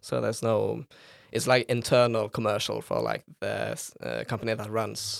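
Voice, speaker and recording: A man with a Norwegian accent speaks at a moderate pace. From Norway, Bergen. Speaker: philosophy student and campus radio member. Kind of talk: casual chat. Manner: hesitant, many fillers.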